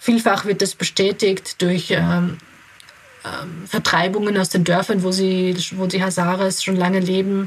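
Over noticeable background noise, a woman with a medium pitch and an Austrian accent talks at a fairly slow pace in a monotone, flat intonation. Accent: speaks Austrian dialect. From Austria (Graz), from age eight; born in Kabul. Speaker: integration adviser and founder of an aid association. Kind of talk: interview. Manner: hesitant, many fillers.

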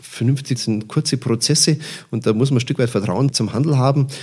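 A man speaks fairly quickly in a somewhat breathy, medium-pitched voice with a dark, mellow tone and ordinary pitch variation. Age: 50s. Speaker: purchasing manager. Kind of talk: interview. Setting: on site at a company.

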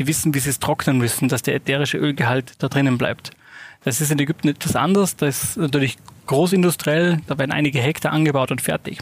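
A man with an Austrian accent, fairly high in pitch, talking fairly quickly with fairly even intonation. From Austria, Salzburg. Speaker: spice company managing director. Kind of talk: interview.

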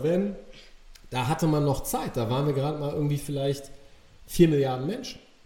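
Noticeable background noise runs through the clip. A man talks over it. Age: 40s. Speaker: podcast guest, coach. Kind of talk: casual interview conversation.

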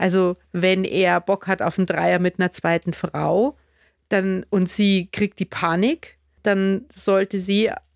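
On a very clean recording with a silent background, a woman speaks at a medium pitch in a monotone, flat intonation, the sound dry and close with no echo. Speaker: podcast host. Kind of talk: interview.

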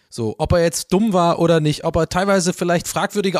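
A man's high-pitched voice with ordinary pitch variation at a fairly quick pace, in a very clean recording with a silent background and a dry, close sound with no echo. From Ireland, Dublin. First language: English (speaking German). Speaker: podcast guest. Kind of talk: casual chat.

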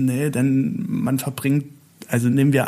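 At a fairly slow pace, a man with a slight Italian accent speaks at medium pitch with ordinary pitch variation. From Italy. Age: 40s. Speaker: festival decoration artist. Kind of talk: casual interview. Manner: halting.

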